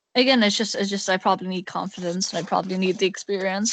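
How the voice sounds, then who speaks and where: A woman with an Irish accent talks at medium pitch and a fairly quick pace over a quiet background. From Ireland. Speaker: podcast host. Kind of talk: casual chat. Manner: halting.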